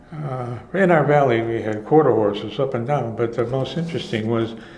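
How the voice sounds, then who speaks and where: A speaker with an American accent talks at a moderate pace. The intonation is fairly even, and there is noticeable background noise. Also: man. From Chicago. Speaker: retired filmstrip producer. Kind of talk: oral history interview answer. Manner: rambling, hesitant.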